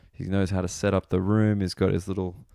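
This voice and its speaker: A man speaks quietly at a moderate pace, his very deep, low pitch carrying a dark, mellow tone. The sound is dry and close with no echo, and the recording is very clean with a silent background. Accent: Australian. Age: 20s. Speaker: comedian. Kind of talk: podcast intro monologue. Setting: waiting for a train late at night.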